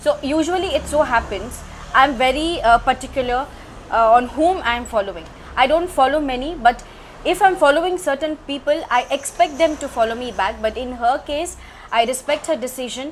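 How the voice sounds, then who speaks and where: Amid noticeable background noise, a woman talks at a moderate pace in a high pitch with ordinary pitch variation. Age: 40s. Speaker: social media influencer. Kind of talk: casual chat.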